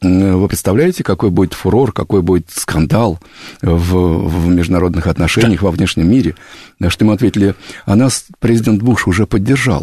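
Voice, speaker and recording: Recorded dry and close with no echo, a man with a very deep, low pitch and a dark, mellow tone speaks at a moderate pace, with ordinary pitch variation and very even loudness. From Moscow region, Russia (Kupavna). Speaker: americanist expert. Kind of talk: radio interview. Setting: studio.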